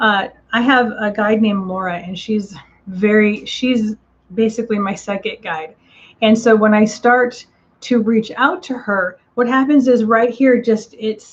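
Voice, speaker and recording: A woman talks at a fairly slow pace with a somewhat breathy voice. Her pitch varies in an ordinary way. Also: fairly high pitch for a woman. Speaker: psychic medium. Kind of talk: live stream reading and Q&A. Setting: live online stream. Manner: casual, with many fillers.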